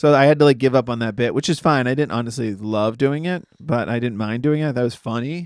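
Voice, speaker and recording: Using an unremarkable speaking voice, a man with an American accent talks at a medium pitch and a fairly quick pace with ordinary pitch variation. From Massachusetts. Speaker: comedian and podcast co-host. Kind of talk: casual chat.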